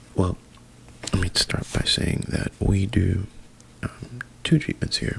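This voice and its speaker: A man whispers in a gentle tone at a very slow pace. Noticeable background noise can be heard. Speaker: therapist (roleplay). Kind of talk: ASMR roleplay. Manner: whispered, gentle.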